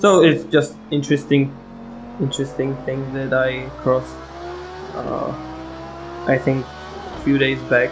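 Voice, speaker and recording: Against noticeable background noise, a man with a Czech accent speaks with long, frequent pauses. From Czech Republic. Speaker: sim racing gamer. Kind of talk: gameplay commentary. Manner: halting, many fillers.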